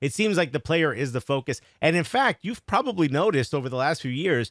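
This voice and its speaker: Talking very fast, a man speaks in a New York accent. His voice is dry with no echo, and the background is quiet. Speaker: comedian and podcast host; podcast host. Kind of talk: casual interview. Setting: video call. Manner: joking. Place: home room. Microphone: studio mic.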